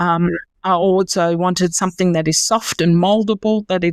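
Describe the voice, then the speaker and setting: A woman with a German accent in monotone, flat intonation, on a very clean recording with a silent background. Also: dry, close sound with no echo. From Germany. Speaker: company founder. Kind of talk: interview.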